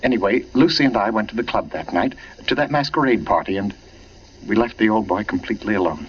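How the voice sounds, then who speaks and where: Sounding anxious, a man talks at a very fast pace. His pitch is medium, with ordinary pitch variation. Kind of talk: radio drama dialogue. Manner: urgent, anxious.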